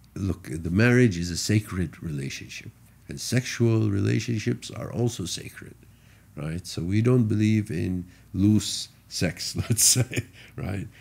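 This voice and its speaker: Fairly low in pitch, a man talks at a fairly slow pace with lively intonation. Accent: Arabic. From Saudi Arabia. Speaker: car rally driver. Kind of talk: casual chat.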